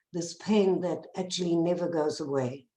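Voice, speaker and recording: At a moderate pace, a woman speaks in a dark, mellow tone with a fairly low pitch. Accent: South African. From South Africa. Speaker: bereaved parent activist. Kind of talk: testimony.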